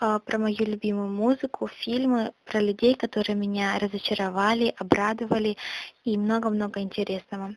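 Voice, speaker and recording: A woman with a fairly high pitch speaks at a moderate pace in a monotone, flat intonation, the sound dry and close with no echo. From Russia, Yaroslavl region. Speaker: podcaster / blogger. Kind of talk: self-introduction monologue. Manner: casual, with hesitations.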